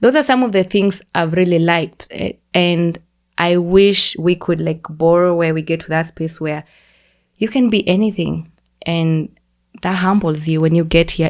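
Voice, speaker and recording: Speaking at a moderate pace, a woman with a Kenyan accent uses a fairly low pitch. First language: Kikuyu. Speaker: podcast guest, immigrant. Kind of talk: casual chat.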